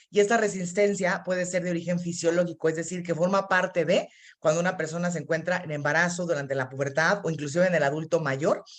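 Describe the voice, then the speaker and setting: Very fast speech from a woman, fairly low in pitch, with fairly even intonation. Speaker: physician. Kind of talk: online health talk.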